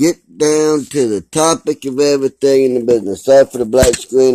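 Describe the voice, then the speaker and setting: Fairly quick speech from a man with an American accent, medium pitch, a dark, mellow tone, ordinary pitch variation and a dry, close sound with no echo. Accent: Texan twang, stronger when upset. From Texas. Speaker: YouTuber. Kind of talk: vlog rant. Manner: animated.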